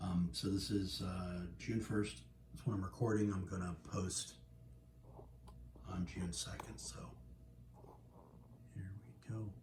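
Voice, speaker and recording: Over noticeable background noise, a man with a very deep, low pitch speaks at a fairly slow pace, with very wide pitch swings and long, frequent pauses. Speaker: video game logo tutorial maker. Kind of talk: tutorial. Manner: hesitant with fillers. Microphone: phone near.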